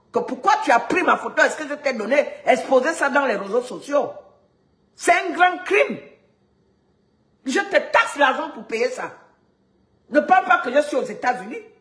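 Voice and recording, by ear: A woman's high-pitched, fairly bright voice with lively intonation at a moderate pace, in a room with audible echo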